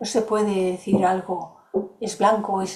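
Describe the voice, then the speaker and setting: Somewhat breathy and dark, mellow in tone, a woman speaks at medium pitch and a fairly slow pace. Room echo can be heard. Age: 70s. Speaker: course facilitator. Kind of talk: lecture with Q&A.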